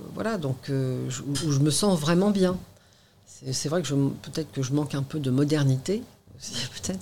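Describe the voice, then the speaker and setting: Taking long, frequent pauses, a woman speaks with lively intonation in a very deep, low pitch. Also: fairly slow pace. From Normandy, Seine-Maritime. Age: 50s. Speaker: restaurant owner and antique dealer. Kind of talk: interview. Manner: halting.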